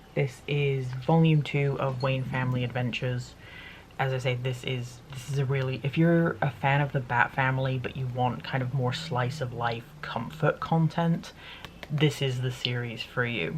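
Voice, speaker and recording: Pitch variation stays ordinary. The pace is moderate. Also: woman, very deep, low pitch for a woman. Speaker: YouTuber sharing monthly favourites. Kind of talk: casual chat.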